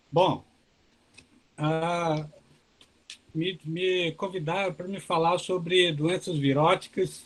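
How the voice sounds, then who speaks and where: A man speaks at a very slow pace. His pitch is high and his intonation fairly even. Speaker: professor of agronomy giving a webinar talk. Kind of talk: lecture. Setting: video call webinar. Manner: soft-spoken.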